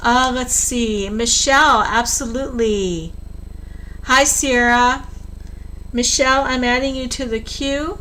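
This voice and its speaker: Amid noticeable background noise and audible room echo, a woman in a raised, projected, high voice speaks at a very slow pace with long, frequent pauses and ordinary pitch variation. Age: 60s. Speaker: tarot reader. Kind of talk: live stream tarot reading. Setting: live stream at home computer. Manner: blunt, straight-talking.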